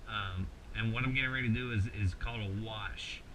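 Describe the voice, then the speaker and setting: This man has a Kentucky accent. His voice sits fairly low in pitch. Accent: rural Kentucky Southern US. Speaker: mask maker, tutorial host. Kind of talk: tutorial. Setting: home workshop late at night. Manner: casual, halting with many repeated words.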